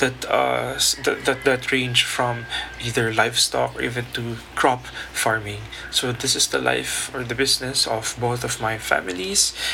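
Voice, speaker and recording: A man speaks at a fairly slow pace, with noticeable background noise in the recording. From Philippines, Mindanao. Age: young. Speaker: podcast host, young farming entrepreneur. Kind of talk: solo podcast monologue. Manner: hesitant, with fillers and restarts.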